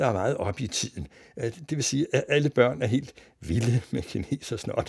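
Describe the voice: The delivery is plain reading aloud with ordinary pitch variation.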